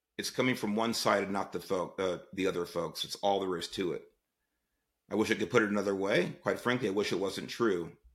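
Speaking at a fairly quick pace, the voice has an American accent and fairly even intonation. The recording is very clean, with a silent background. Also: man, fairly low pitch for a man. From Southeast Los Angeles, US. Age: 60s. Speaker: podcast host, former police chief. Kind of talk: political commentary monologue.

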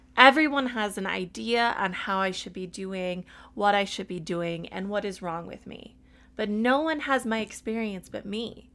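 In a very clean recording with a silent background, a woman speaks at a fairly slow pace. Her pitch is fairly high. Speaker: podcast host. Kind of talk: solo podcast monologue, reading own essay and advice. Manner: loud; animated.

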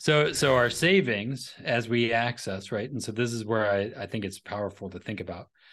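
Against a quiet background, a man with a plain, everyday voice speaks at medium pitch and a moderate pace, with ordinary pitch variation and hardly any pauses. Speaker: financial advisor and podcaster; entrepreneur. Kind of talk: casual interview chat.

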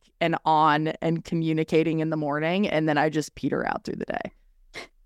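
In an American accent and an ordinary speaking voice, a woman with fairly low pitch talks at a moderate pace, the sound dry and close with no echo over a quiet background. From California, Orange County. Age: 30s. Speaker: podcaster. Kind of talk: casual chat.

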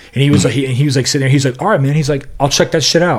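A man speaks in a somewhat breathy voice, with ordinary pitch variation. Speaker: podcast host. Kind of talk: casual chat, interview.

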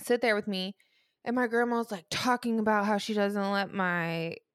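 Recorded very cleanly against a silent background, a woman with an unremarkable speaking voice talks at a moderate pace and medium pitch with fairly even intonation. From US Midwest, southern Illinois. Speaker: podcast co-host. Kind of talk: casual chat.

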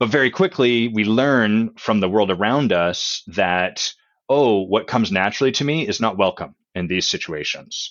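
At a moderate pace, a man speaks with medium pitch and lively intonation. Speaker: executive coach. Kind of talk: casual interview chat.

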